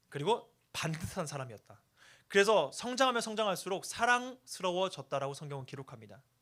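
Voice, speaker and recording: On a very clean recording with a silent background, a man talks at a fairly quick pace in a high voice with very wide pitch swings. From Chungcheong, South Korea. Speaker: youth pastor. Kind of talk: sermon. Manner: animated.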